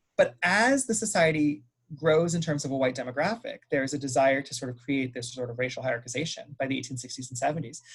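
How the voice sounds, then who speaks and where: Hardly pausing, a man with an American accent talks very fast in a fairly high, somewhat breathy voice with ordinary pitch variation. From US, Los Angeles. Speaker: history professor. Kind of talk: Q&A answer in academic talk. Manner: hesitant fillers, frequent um.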